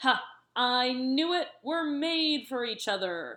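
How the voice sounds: Putting on a growling character voice, a woman speaks fairly slowly at a high pitch.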